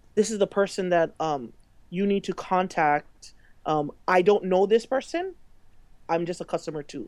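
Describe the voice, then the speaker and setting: A woman with a Hawaiian accent and medium pitch speaks with long, frequent pauses on a very clean recording with a silent background. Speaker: social media consultant. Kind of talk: interview. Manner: halting, many fillers.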